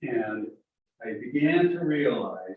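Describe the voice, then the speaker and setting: This is a man's voice. His delivery is very slow. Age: 70s. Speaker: retired physician and author, army veteran. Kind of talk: group sharing, casual testimony.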